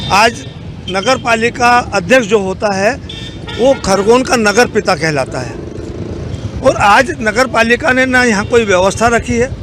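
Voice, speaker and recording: The speech has ordinary pitch variation and long, frequent pauses. Noticeable background noise runs underneath. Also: man, high pitch for a man. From Madhya Pradesh, India (Khargone). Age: 70s. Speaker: former legislator. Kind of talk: street interview.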